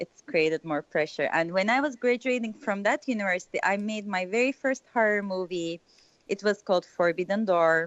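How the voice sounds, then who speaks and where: Speaking at a moderate pace with a Turkish accent, a woman uses a medium pitch and lively intonation. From Turkey, Istanbul. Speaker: filmmaker. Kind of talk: interview.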